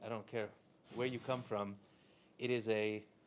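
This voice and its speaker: The voice is soft-spoken, and its intonation stays fairly even. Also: man. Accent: American. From Southern California. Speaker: rabbi and inspirational speaker. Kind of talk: inspirational talk to a live audience. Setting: room with live audience.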